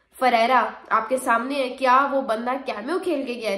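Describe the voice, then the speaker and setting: Over audible room echo, a woman speaks at a fairly slow pace in an animated tone with high pitch and ordinary pitch variation. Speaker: cricket commentator. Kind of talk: sports opinion vlog.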